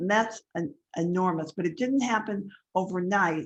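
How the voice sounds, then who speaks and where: A woman's ordinary speaking voice, fairly low in pitch, at a moderate pace with fairly even intonation against a quiet background. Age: 60s. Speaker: life coach. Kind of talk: webinar class.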